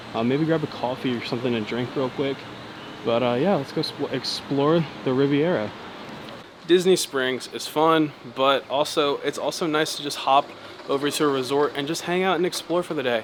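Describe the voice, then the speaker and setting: A man with a fairly high pitch, ordinary pitch variation and noticeable background noise. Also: moderate pace. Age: 20s. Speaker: vlogger. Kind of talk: casual vlog narration. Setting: indoors at a resort lobby. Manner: loud; quieter.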